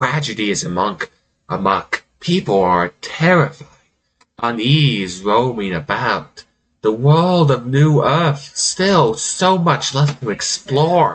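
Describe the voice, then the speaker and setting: A man puts on a character voice, pitched medium and delivered fairly slowly. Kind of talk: villainous monologue. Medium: actual play. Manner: theatrical, mocking, self-amused.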